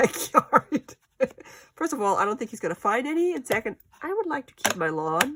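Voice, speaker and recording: A woman talks at a moderate pace with very wide pitch swings. The sound is dry and close with no echo. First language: German. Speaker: crafter. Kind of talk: casual craft vlog. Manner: chatty, thinking aloud.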